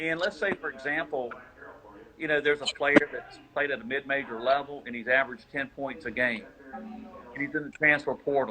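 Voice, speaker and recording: A man speaks at a moderate pace. His pitch is fairly high. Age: 60s. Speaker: basketball scouting service founder. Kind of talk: interview. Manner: halting.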